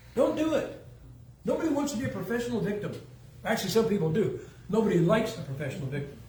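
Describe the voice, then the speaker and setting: Speaking at a very fast pace in a high pitch, a man swings his pitch very widely and leaves long, frequent pauses, with audible room echo around him. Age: 70s. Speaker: preacher. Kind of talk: sermon. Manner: casual, joking.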